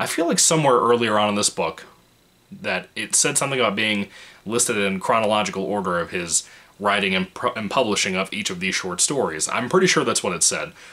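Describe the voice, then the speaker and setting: This quiet man talks at a fairly quick pace, his fairly low pitch carried by lively intonation. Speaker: book reviewer. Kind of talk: book review monologue. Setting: home apartment. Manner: keeping voice low, quiet.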